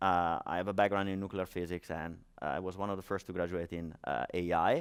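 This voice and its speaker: A man speaks with an Italian accent. The recording is very clean, with a silent background. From Italy. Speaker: startup founder and conference speaker. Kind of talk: conference talk. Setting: stage with audience. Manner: hesitant, many fillers.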